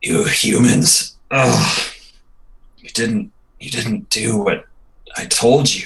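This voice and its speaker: In a raspy, put-on character voice of medium pitch, a man speaks at a very slow pace. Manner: pained, reproachful.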